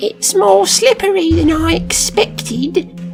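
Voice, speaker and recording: Clear music plays in the background as someone speaks in a put-on character voice at a fairly slow pace. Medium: read story. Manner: dry, teasing.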